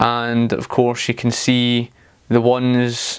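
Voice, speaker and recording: A man talks in a Scottish accent. The recording is very clean, with a silent background. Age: 30s. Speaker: political commentator. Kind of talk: video commentary. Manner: hesitant, many fillers.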